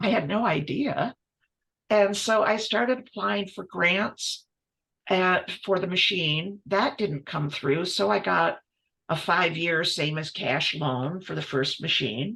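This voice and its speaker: The voice has vocal fry and a bright, sharp tone with very wide pitch swings. The pace is very slow. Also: woman, fairly low pitch for a woman. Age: 70s. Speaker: multidisciplinary textile artist; guest. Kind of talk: interview conversation. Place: workshop.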